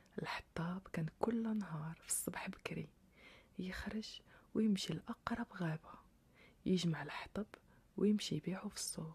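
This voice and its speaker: Soft-spoken and calm in tone, this speaker talks at a fairly slow pace in a Moroccan accent. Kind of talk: sleep story. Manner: calm, soft-spoken.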